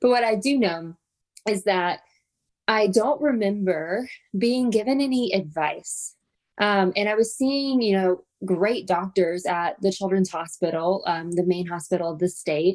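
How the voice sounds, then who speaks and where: A woman with an American accent uses an ordinary speaking voice at a medium pitch, talking at a fairly slow pace with ordinary pitch variation. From US South. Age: 30s. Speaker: podcast host. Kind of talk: personal storytelling monologue. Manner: casual, filler-heavy.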